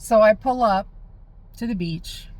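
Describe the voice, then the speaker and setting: With ordinary pitch variation, a woman talks in a somewhat breathy voice. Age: 50s. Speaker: spiritual healing vlogger. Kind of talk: casual monologue. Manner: conversational, with fillers and restarts.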